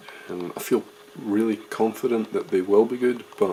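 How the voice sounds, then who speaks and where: Speaking quietly at a moderate pace, a man with a Scottish accent is heard over noticeable background noise. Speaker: wedding videographer. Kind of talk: video diary. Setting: hotel room. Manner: casual, hesitant with fillers.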